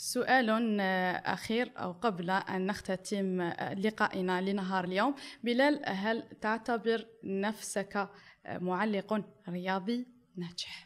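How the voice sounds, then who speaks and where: A woman speaks very slowly with an Algerian accent. Her pitch is medium, with ordinary variation. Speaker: interviewer. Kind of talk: interview. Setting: studio. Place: studio. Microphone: studio mic.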